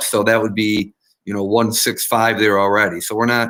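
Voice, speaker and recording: A man talks at a fairly quick pace in a medium pitch. His tone is bright and sharp, with monotone, flat intonation. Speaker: school board member. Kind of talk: board meeting discussion. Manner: fast.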